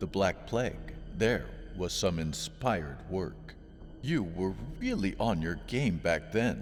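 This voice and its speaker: A man puts on a booming character voice. He speaks at a fairly slow pace against clear background noise. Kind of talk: wise and authoritative. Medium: read story. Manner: friendly, patient, non-judgmental.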